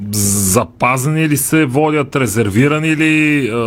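An unremarkable speaking voice proceeds at a fairly slow pace with ordinary pitch variation. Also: man. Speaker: sports radio host. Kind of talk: radio talk show discussion. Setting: radio studio.

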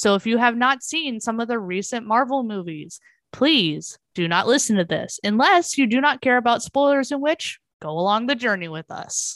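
Against a quiet background, a woman talks in a plain, everyday voice with lively intonation. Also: fairly high pitch for a woman, moderate pace. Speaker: podcast co-host. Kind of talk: casual chat.

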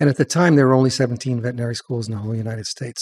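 Somewhat breathy and at medium pitch, a man speaks with an American accent in a dry, close sound with no echo. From Long Island, New York. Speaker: veterinarian and columnist. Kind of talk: casual interview.

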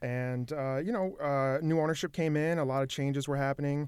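Here a man with an American accent has a normal speaking voice and fairly high pitch. His pace is fairly quick and his intonation fairly even. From Michigan, Saginaw. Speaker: arena ticketing director. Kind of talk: casual interview.

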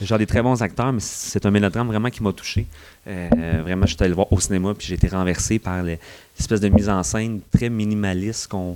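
A man speaks in a Quebec accent with a dark, mellow tone. He keeps a fairly quick pace and fairly even intonation. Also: fairly low pitch for a man. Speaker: film columnist. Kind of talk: casual chat.

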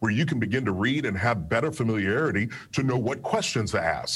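Speaking in a Southern US accent, a man uses lively intonation at a medium pitch and moderate pace. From US South, Kentucky. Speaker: personal finance author and radio host. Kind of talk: interview. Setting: remote video call.

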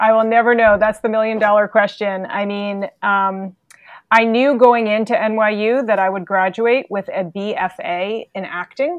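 Her voice is a plain, everyday voice, and she is a woman with a fairly high pitch. She keeps a moderate pace with ordinary pitch variation. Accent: American. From New York City. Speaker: executive leadership coach. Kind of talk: interview.

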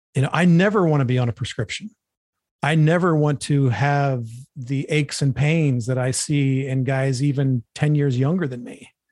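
At a moderate pace, a man speaks in an ordinary speaking voice, fairly high-pitched, his pitch varying in an ordinary way. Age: 50s. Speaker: bodybuilding podcast host. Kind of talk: casual monologue. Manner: casual, profane.

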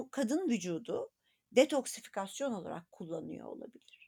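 A woman's fairly high voice, dark and mellow in tone, rises and falls in very wide pitch swings, with a dry, close sound and no echo. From Turkey, rural Anatolia. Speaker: gynecologist. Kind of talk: interview. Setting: podcast recording.

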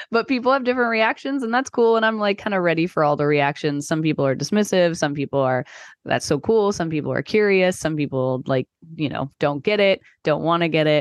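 Recorded dry and close with no echo against a quiet background, a woman talks at a fairly quick pace and fairly low pitch with very wide pitch swings. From Texas. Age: 30s. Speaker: marketing consultant. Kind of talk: casual chat. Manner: many filler words.

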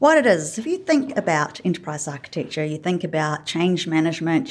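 Her pitch swinging very widely, a woman speaks in a New Zealand accent on a very clean recording with a silent background. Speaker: enterprise design consultant. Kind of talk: casual interview conversation. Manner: hesitant, filler-heavy.

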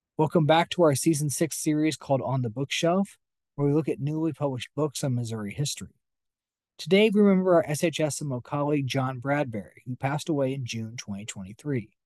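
A man speaks at a fairly quick pace in an unremarkable speaking voice, his pitch fairly high and its variation ordinary. The sound is dry and close with no echo, over a quiet background. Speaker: podcast host. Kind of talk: interview. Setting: studio.

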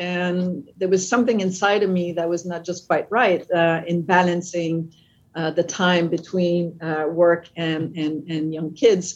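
In a French Canadian accent, the speech moves at a very slow pace with hardly any pauses and fairly even intonation. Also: woman, fairly low pitch for a woman. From French Canada, Quebec. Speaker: company CEO. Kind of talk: interview conversation. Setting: video call.

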